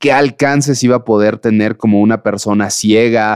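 This man has a plain, everyday voice and speaks at a moderate pace with ordinary pitch variation. The sound is dry and close with no echo, over a quiet background. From Mexico. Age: 30s. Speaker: blind mountaineer and ultra-endurance athlete. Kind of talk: casual interview.

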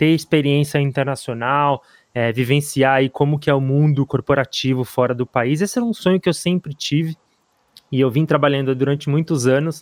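A plain, everyday voice speaks at a moderate pace with fairly even intonation. The sound is dry and close, with no echo. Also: man. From Brazil. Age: 30s. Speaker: podcast co-host. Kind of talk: interview.

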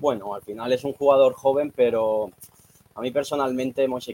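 A man with an unremarkable speaking voice talks at a fairly quick pace and a medium pitch. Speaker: TikTok creator. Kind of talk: casual chat.

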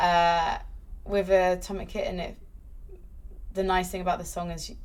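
This woman's delivery is fairly quick. The room's echo can be heard. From UK, born in London. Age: 30s. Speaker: esports presenter. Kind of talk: casual chat. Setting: in-person recording in London.

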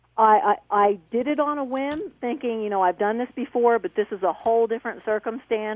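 A woman with a normal speaking voice talks at a moderate pace, her fairly high pitch moving with ordinary variation. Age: 50s. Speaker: caller. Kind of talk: testimony.

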